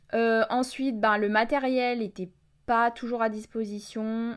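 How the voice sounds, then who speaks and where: The recording is very clean and the background silent. A woman talks. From Burgundy, France. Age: 20s. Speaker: podcast host, student. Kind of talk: casual personal storytelling podcast. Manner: hesitant, many fillers.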